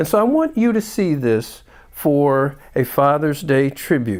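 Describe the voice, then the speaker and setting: With lively intonation and a fairly high pitch, a man speaks fairly slowly in a plain, everyday voice, on a very clean recording with a silent background. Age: 60s. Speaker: doctor and health show host. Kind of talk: show introduction.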